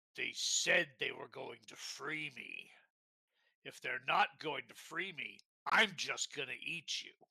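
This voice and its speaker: A put-on character voice, raspy and at a fairly slow pace. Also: man. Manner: threatening.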